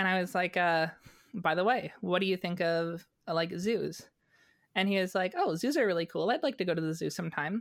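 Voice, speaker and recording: Here is a woman with an unremarkable speaking voice at a medium pitch. She talks at a fairly quick pace with ordinary pitch variation. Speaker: magazine editor. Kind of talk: casual chat. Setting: video call.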